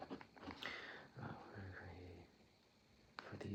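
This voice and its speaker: Soft-spoken and relaxed, a man whispers. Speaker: ASMR role-play interviewer. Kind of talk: ASMR job interview role play, casual conversational talk. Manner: soft-spoken, whispery, relaxed.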